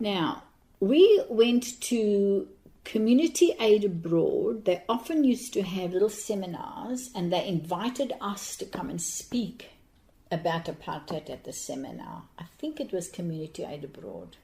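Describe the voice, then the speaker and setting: A woman's somewhat breathy voice at medium pitch, dark and mellow in tone, with very wide pitch swings and a fairly slow pace. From South Africa, Cape Town. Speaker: anti-apartheid activist. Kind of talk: interview reminiscence. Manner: halting.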